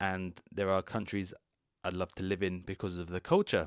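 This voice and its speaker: In a British accent, the speech comes out flat and monotone, recorded very cleanly against total silence with a dry, close sound and no echo. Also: man. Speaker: English teacher. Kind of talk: podcast monologue. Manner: slow and clear.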